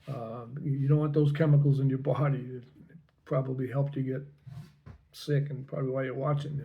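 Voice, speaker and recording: This man talks at a fairly quick pace in a fairly high pitch, with monotone, flat intonation and a somewhat breathy sound. Long, frequent pauses break up his speech, and audible room echo surrounds it. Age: 70s. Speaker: health vlogger. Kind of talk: personal testimony. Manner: casual, slightly halting.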